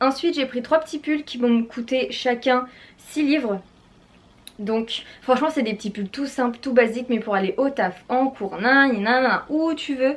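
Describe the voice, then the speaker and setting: Pitch variation here is ordinary. The pace is fairly slow. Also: woman. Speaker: fashion YouTuber. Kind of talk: haul and try-on vlog. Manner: animated.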